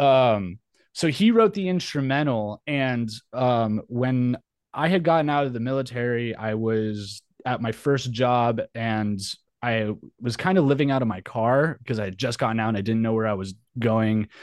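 A man speaks in a normal speaking voice with an American accent and medium pitch. His pace is moderate, with ordinary pitch variation. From New Mexico, US. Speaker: metal musician and Navy veteran. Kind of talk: casual interview.

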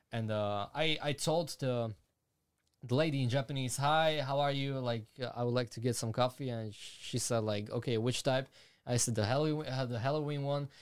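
A man's medium-pitched voice with a Slovak accent, fairly even intonation and a moderate pace, on a very clean recording with a silent background. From Slovakia. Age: 20s. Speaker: YouTuber and animator. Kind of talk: casual interview. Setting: studio.

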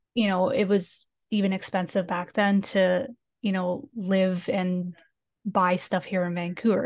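Against a quiet background, a woman with an American accent speaks at a fairly slow pace in a medium pitch with fairly even intonation. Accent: Canadian, said to sound like Minnesota. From Canada, northern British Columbia. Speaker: Sims builder and graphic designer. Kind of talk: casual chat interview.

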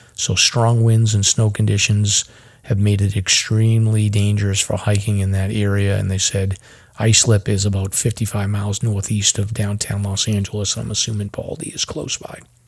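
On a very clean recording with a silent background, a man with a fairly low pitch speaks at a moderate pace, somewhat breathy, with monotone, flat intonation. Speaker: hiking and search and rescue podcast host. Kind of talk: casual chat.

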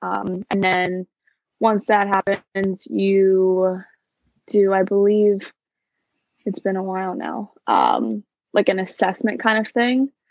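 A woman's medium-pitched voice with fairly even intonation, in a dry, close sound with no echo. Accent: New Jersey. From New Jersey. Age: 20s. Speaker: former theme park worker. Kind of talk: casual chat.

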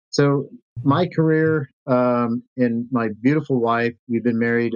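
Heard in a dry, close sound with no echo, a man talks at a moderate pace in a medium pitch with an unremarkable speaking voice. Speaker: state senate candidate and military veteran. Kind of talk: interview.

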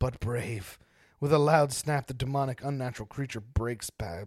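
Plain reading aloud, with fairly even intonation throughout.

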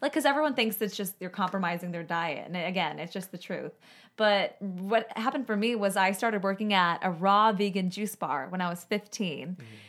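A woman with an American accent in an ordinary speaking voice, medium in pitch with ordinary pitch variation, on a very clean recording with a silent background. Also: fairly quick pace. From Chicago. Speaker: sustainability advocate. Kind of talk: casual chat. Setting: studio.

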